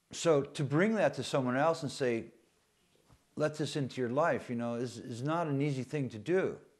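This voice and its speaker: Against a quiet background, a man with an American accent speaks in an ordinary speaking voice at a moderate pace. His pitch is fairly high, with ordinary pitch variation. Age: 60s. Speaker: poet and war veteran. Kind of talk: documentary interview.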